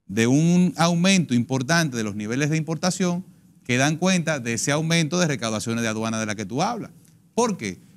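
This man's voice sits fairly high and swings very widely in pitch. He talks at a fairly quick pace over a quiet background. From Dominican Republic. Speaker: politician, congressional pre-candidate; candidate. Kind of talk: political panel debate. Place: studio. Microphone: lapel.

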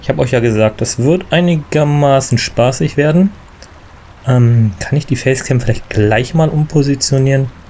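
A hoarse man with a slightly mellow tone speaks at a moderate pace and medium pitch, his pitch varying normally.

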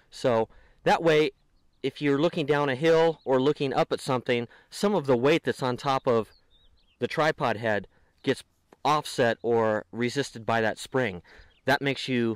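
Against a quiet background, a man speaks at a moderate pace. He leaves long, frequent pauses. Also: ordinary pitch variation, dry sound with no echo. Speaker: gear reviewer. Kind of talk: tutorial. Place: open country. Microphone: phone near.

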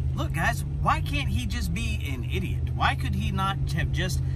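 A man speaks at a fairly slow pace in a dry sound with no echo, over loud background noise. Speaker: vlogger. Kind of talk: casual vlog opinion rant. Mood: exasperated, argumentative. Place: car. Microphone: phone near.

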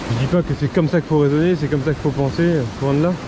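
Noticeable background noise runs under this recording. A man speaks with ordinary pitch variation. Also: dry sound with no echo. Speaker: shore angler vlogger. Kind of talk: casual vlog chat. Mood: passionate, reflective. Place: beach. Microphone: phone near.

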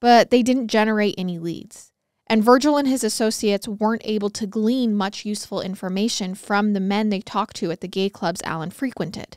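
In a serious tone, a woman speaks with hardly any pauses, a fairly high pitch and ordinary pitch variation, the sound dry with no echo and the background quiet. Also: fairly quick pace. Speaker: true crime podcast host. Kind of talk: true-crime narration, read aloud from case notes in a steady storytelling voice. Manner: serious, even-paced, measured storytelling. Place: studio. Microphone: studio mic.

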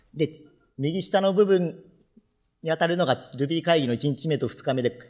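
Against a quiet background, a man talks at a fairly high pitch with ordinary pitch variation. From Japan, Fukuoka; Japan. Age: 30s. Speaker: software developer; conference speaker. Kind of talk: conference talk. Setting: stage with audience. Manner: formal. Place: hall.

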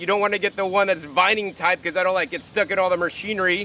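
A man speaks in a raised, projected voice. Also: dry sound with no echo. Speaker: gardening video host. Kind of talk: casual outdoor tutorial talk.

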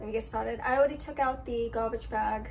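A woman's voice over light background noise. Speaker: home cleaning vlogger. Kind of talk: casual vlog chat. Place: kitchen. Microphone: phone near.

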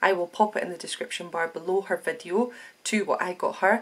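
A woman talks with fairly even intonation. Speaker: beauty box vlogger. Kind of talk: casual vlog chat. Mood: cheerful, laughing. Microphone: phone near.

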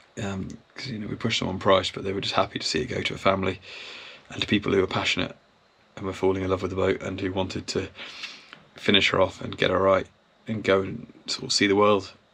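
Very fast and monotone, a man speaks with flat intonation. His pitch sits fairly low. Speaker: boat owner vlogger. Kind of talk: casual vlog chat. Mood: reflective, a bit emotional. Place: boat. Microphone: phone near.

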